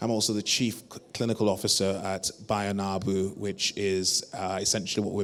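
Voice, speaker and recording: Monotone, flat delivery at a moderate pace with a British accent. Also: man. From UK. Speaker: panel moderator, GP. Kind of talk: conference panel moderation. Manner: halting, many fillers.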